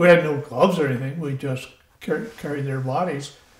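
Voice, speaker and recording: A somewhat breathy quality runs through this man's voice. Its pitch is fairly high. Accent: American. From Iowa, USA. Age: 90s. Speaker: WWII Marine veteran. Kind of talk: interview answer.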